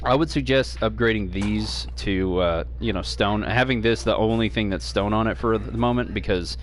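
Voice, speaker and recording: A man's very deep, low voice with very wide pitch swings, audible room echo and noticeable background noise. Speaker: gaming streamer. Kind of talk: gameplay tutorial. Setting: home stream. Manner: fast; hesitant, many fillers.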